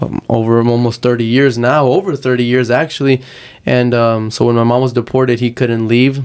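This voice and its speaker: A man's medium-pitched voice, a Spanish accent, monotone, flat intonation and a fairly quick pace. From Texas, moved from Uruguay at five. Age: 20s. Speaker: activist and aspiring lawyer. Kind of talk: interview.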